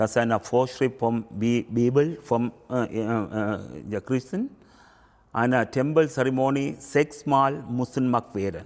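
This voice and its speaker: The speech moves at a very slow pace. Its pitch shifts in an ordinary way. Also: man, medium pitch for a man. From Sri Lanka. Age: 50s. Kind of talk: interview. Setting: temple. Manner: halting.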